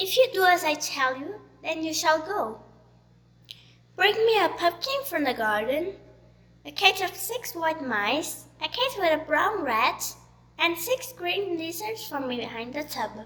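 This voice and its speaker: A woman performs a put-on character voice at an extremely high pitch. She goes at a fairly slow pace with very wide pitch swings. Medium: read story.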